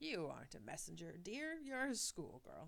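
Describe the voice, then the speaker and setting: A woman speaks in a put-on character voice. Her pace is moderate. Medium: read story. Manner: warm, doting.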